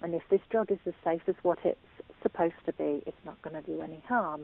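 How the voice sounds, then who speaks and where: A woman is speaking. She has an English accent. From England. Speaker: patient sharing illness experience. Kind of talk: testimony. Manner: hesitant, with frequent fillers.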